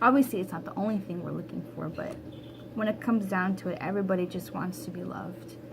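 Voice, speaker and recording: Noticeable background noise runs under the audio. Over it, a woman talks very fast. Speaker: tarot reader. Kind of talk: tarot reading monologue. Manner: casual, conversational.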